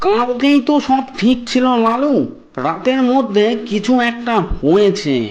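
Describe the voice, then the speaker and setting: A man does a cartoonish character voice at an extremely high pitch, speaking fairly slowly with very even loudness. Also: ordinary pitch variation. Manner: gentle, cautious.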